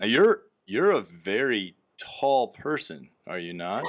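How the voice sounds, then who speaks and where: A man with an American accent in a very clean recording with a silent background. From US Midwest. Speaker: podcast host, company employee. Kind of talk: casual interview.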